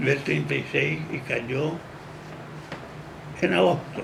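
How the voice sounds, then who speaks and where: A man at a very slow pace, with audible room echo and noticeable background noise. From Paraguay. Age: 80s+. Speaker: jurist. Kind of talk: interview.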